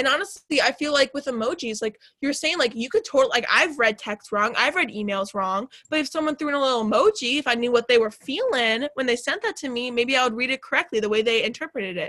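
With an American accent, a woman speaks very fast in a raised, projected voice that sits high in pitch. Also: hardly any pauses. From Chicago suburbs, Illinois. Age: 20s. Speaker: college radio host. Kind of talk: casual chat. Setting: studio. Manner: talkative, fast.

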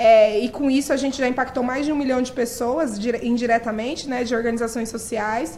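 A fairly quick pace with hardly any pauses and fairly even intonation. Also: woman, high pitch for a woman. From Brazil, periphery. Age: 30s. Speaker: nonprofit director. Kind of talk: interview.

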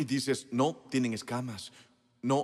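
At a very slow pace, a man speaks at medium pitch. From US South, South Carolina. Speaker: pastor. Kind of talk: sermon. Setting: church. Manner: animated.

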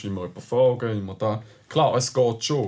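The voice has a Swiss accent and ordinary pitch variation. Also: man. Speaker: car podcast co-host. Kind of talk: casual chat.

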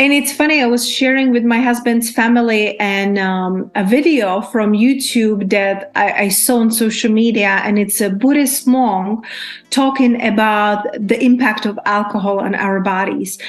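Her fairly high voice moves at a fairly slow pace with hardly any pauses and ordinary pitch variation, as a woman speaks over noticeable background noise. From Czech Republic. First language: Czech. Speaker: abundance coach. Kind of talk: casual chat.

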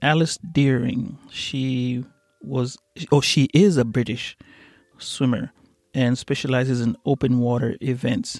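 In an East African accent, the speaker goes at a fairly slow pace with fairly even intonation and a dry, close sound with no echo. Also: man, medium pitch for a man. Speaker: podcast host. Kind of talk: solo monologue podcast.

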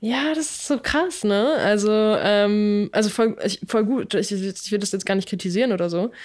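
A woman with a medium pitch is heard on a very clean recording with a silent background. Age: 20s. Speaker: podcast co-host. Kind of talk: casual chat.

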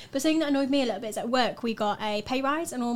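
A woman with a Yorkshire accent talks at a very fast pace in a high pitch. The recording is very clean with a silent background. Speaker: student podcast co-host. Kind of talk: casual chat.

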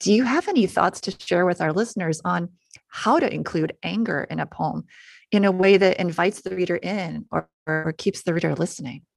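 Speaking at a fairly quick pace, a woman has a fairly low pitch, vocal fry and ordinary pitch variation. The recording is very clean with a silent background, dry and close with no echo. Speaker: guest radio host. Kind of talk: radio interview.

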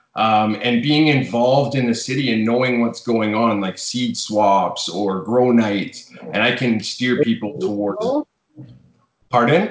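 Here a man talks with a Western Canadian accent at a fairly slow pace. His pitch is medium, with ordinary pitch variation. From Fort McMurray, Alberta, Canada. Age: 30s. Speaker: smoke shop owner. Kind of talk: casual chat.

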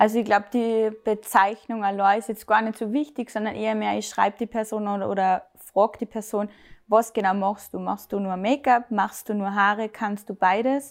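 A woman, fairly high in pitch, at a moderate pace, with monotone, flat intonation. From Austria, Salzburg. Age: 20s. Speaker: make-up artist and hairdresser. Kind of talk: casual interview.

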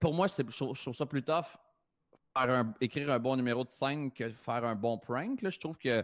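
A man's normal speaking voice at medium pitch, with ordinary pitch variation, a moderate pace and a dry, close sound with no echo. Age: 30s. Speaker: comedian and prankster. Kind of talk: casual chat. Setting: video call.

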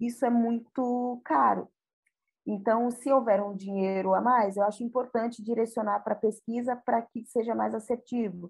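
A woman has an unremarkable speaking voice, pitched fairly high. She talks at a moderate pace with fairly even intonation. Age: 40s. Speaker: communications specialist. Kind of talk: podcast interview.

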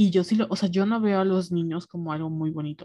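A woman's very fast delivery in a dark, mellow tone at medium pitch, with fairly even intonation. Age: 20s. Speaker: podcast co-host. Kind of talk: casual chat.

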